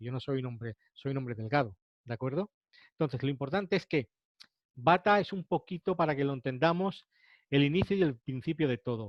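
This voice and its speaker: A man with a fairly high pitch, a fairly quick pace and lively intonation. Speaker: naturopath and nutritionist lecturer. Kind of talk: webinar lecture. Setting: online webinar. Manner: fast.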